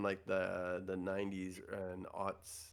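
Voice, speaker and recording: Speaking with a Canadian accent, a man has a fairly low-pitched voice. The recording is very clean, with a silent background. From Canada. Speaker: professional photographer. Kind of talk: casual chat. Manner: halting, many fillers.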